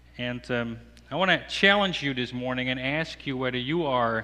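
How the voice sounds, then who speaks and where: A man's medium-pitched voice, bright and sharp in tone, with ordinary pitch variation and a Dutch accent. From Netherlands. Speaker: apologetics speaker. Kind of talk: sermon. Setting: church. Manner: halting.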